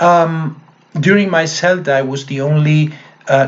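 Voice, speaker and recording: With a Spanish accent, a man speaks at a fairly high pitch with ordinary variation amid noticeable background noise. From Argentina, Mendoza. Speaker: English teacher. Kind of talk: testimonial talk to camera. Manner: hesitant, many fillers.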